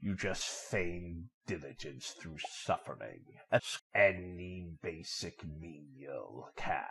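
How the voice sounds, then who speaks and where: A man's put-on character voice, very deep and low, at a very slow pace with hardly any pauses, over a quiet background. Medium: audio drama. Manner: calm, almost mocking.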